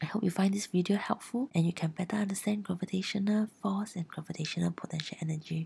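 At a very fast pace, a woman speaks with a fairly low pitch and a somewhat breathy sound. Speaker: science tutor. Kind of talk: educational explainer narration.

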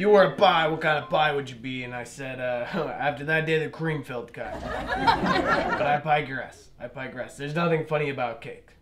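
Someone talks at a fairly quick pace. Clear music plays in the background. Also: man. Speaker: stand-up comedian. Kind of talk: stand-up comedy routine. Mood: dry, deadpan, wry. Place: stage. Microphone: handheld.

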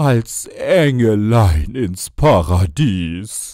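The tone is dark and mellow. The pitch swings very widely. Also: man. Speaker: author and voice narrator. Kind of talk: humorous poetry reading.

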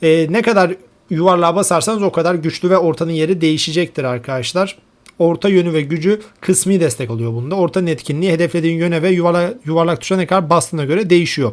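A man's high voice at a very fast pace. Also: ordinary pitch variation. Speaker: gaming YouTuber. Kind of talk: tutorial.

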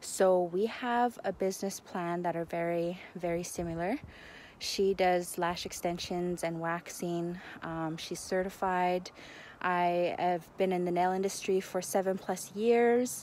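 A normal speaking voice from a woman, fairly low in pitch, with fairly even intonation at a fairly slow pace, in a dry sound with no echo and light background noise. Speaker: vlogger. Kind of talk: casual vlog chat. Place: waterside. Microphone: phone near.

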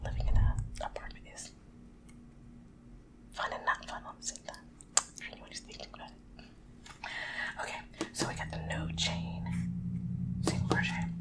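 A woman whispers at a moderate pace with big swings in loudness. She leaves long, frequent pauses. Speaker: ASMR creator. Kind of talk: ASMR whispered reading and casual talk to camera. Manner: whispering, soft-spoken. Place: home room. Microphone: studio mic.

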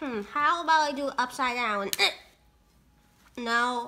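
In a cartoonish character voice, a female-sounding speaker talks high-pitched at a fairly slow pace. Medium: puppet.

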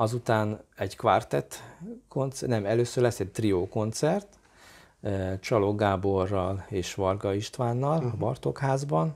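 At a very slow pace, a man speaks in a fairly low pitch with ordinary pitch variation. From Hungary. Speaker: violinist and chamber music teacher; chamber music teacher. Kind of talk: interview. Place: home room. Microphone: lapel.

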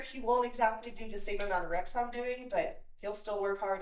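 Moderately paced speech from a woman, with audible room echo. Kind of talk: casual vlog chat. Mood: upbeat, friendly. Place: garage. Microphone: camera far.

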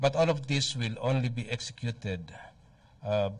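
Somewhat breathy male voice at a moderate pace with ordinary pitch variation. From Philippines. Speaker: military spokesperson. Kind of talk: press briefing. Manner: formal. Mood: calm, formal. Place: hall. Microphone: podium.

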